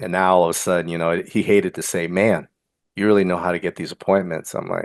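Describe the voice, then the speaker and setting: A man with an American accent talks very fast in a flat monotone at a very deep, low pitch, the sound dry and close with no echo. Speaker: real estate investor, veteran. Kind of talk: group coaching call.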